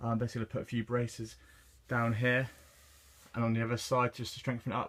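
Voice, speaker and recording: This man speaks with an English accent at a very fast pace, his medium-pitched voice flat and monotone. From England. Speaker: car builder, channel owner. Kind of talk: DIY build video, casual narration. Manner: hesitant, many fillers.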